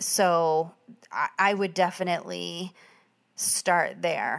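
This woman's voice sits at a fairly low pitch. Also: very clean recording, silent background. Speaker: podcast host. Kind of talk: casual monologue. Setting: at home. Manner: relaxed.

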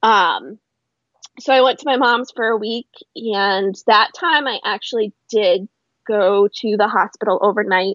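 This woman has a plain, everyday voice. Her pitch sits fairly high. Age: 30s. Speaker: sober coach and founder. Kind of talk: interview.

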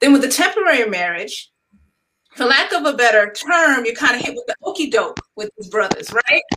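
A woman with an American accent speaks in a high, raised, projected voice, her loudness swinging widely. Her pitch leaps across a very wide range, and the sound is dry and close with no echo. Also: fairly quick pace. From New York. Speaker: wedding planner and writer. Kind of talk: panel discussion.

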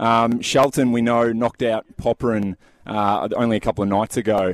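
Recorded with a dry, close sound and no echo, a man speaks with an Australian accent. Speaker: tennis reporter. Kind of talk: live report, casual. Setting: at tennis venue.

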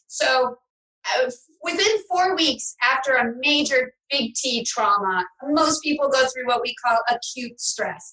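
A woman with a high, raised and projected voice speaks at a very slow pace, her tone bright and sharp and her intonation lively. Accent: American. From New York City. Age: 50s. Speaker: trauma recovery coach and author. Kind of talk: interview.

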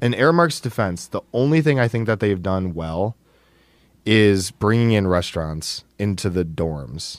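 A fairly low-pitched man at a fairly slow pace, lively in intonation, over music in the background. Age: 20s. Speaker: college student and student radio technical director. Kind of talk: casual chat. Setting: studio.

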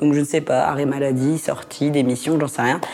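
With noticeable background noise behind her, a woman talks very fast in a very deep, low pitch. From northern France (Lille). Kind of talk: personal anecdote storytelling. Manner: casual, conversational.

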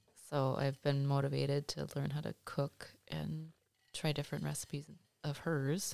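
With an American accent, a woman speaks in a very deep, low pitch at a moderate pace in a monotone, flat intonation, in a very clean recording with a silent background. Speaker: host's mother. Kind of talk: casual chat. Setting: home studio.

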